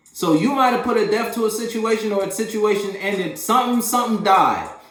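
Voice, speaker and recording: The tone is animated, with audible room echo and noticeable background noise. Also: man. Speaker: tarot reader. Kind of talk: tarot reading. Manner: fast.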